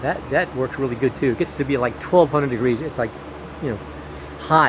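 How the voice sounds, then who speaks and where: Noticeable background noise runs beneath the speech. A man talks at a very fast pace with ordinary pitch variation. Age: 60s. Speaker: hobby gardener and RV builder. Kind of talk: casual garden tour vlog. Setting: outdoors in garden. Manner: casual, halting with repetitions.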